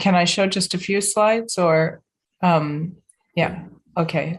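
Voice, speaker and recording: Speaking very slowly, a woman uses a somewhat breathy, fairly low voice with fairly even intonation. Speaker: invited speaker. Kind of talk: presentation at a meeting. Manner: halting.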